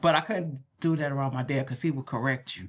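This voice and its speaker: A woman speaks with an American accent. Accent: Southern dialect, stronger when relaxed. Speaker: podcast co-host. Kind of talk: casual chat.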